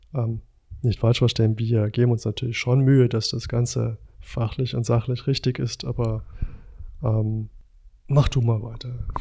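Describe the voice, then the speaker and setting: With long, frequent pauses, a man of medium pitch speaks in a monotone, flat way, his tone dark and mellow and somewhat breathy. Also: moderate pace. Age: 40s. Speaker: paramedic and podcast host. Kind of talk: casual chat.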